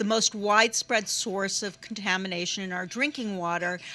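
With a bright, sharp tone, a woman talks at a moderate pace using ordinary pitch variation. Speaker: speaker. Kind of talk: panel talk. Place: cafe. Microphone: handheld.

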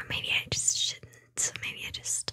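A soft-spoken woman whispers at a very slow pace. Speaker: ASMR streamer. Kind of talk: soft-spoken ASMR chat. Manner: soft close-mic ASMR whisper. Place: home room. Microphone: studio mic.

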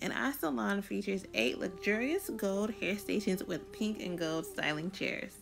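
A woman speaks at a moderate pace with lively intonation over light background noise. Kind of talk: promotional tour narration.

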